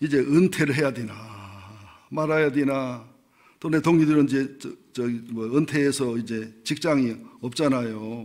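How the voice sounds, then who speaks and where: Captured in a very clean recording with a silent background, the voice moves at a fairly slow pace with fairly even intonation and long, frequent pauses. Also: man, fairly high pitch for a man. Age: 60s. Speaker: pastor. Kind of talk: sermon. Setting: church. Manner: conversational.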